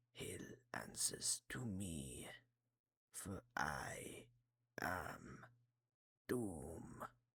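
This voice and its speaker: This is a put-on character voice. It is whispered. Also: man. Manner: menacing, theatrical.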